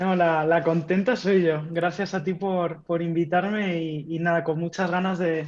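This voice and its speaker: With hardly any pauses, a woman speaks at a fairly slow pace in a fairly low, monotone, flat voice. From Spain, Madrid. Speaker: tech executive and startup mentor; podcast guest. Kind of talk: casual interview. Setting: home office. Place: home room.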